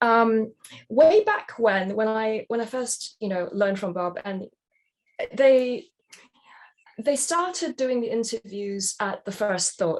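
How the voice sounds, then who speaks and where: With lively intonation, a woman talks at a very slow pace, leaving long, frequent pauses. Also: fairly high pitch for a woman. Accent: British. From Britain. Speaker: jobs-to-be-done practitioner. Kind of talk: webinar Q&A. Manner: hesitant, many fillers.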